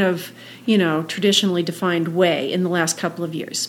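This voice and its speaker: A woman talks at a medium pitch and a moderate pace. Noticeable background noise runs behind her. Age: 60s. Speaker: age group triathlete. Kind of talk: casual interview. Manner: halting.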